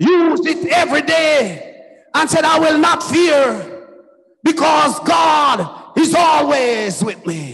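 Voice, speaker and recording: Over crowd noise in the background, a man is shouting in an animated tone that comes across bright and sharp. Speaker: preacher. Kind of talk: sermon with exclamations and prayer. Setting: church. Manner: animated, fervent, exclaiming 'Oh, glory' and 'hallelujah'. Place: church. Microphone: handheld.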